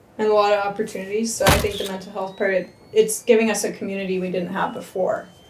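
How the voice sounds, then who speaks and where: A woman talks very fast while noticeable background noise continues behind her. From Canada, rural Manitoba. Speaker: farmer. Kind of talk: casual chat. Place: office.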